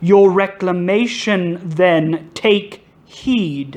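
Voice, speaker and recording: A put-on character voice at a middle pitch and a very slow pace. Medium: read story. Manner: calm, solemn.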